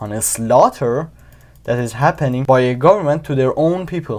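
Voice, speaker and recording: A man with a Persian accent, medium pitch and lively intonation, on a very clean recording with a silent background. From Iran. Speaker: YouTuber. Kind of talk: casual commentary to camera. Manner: halting, with many fillers.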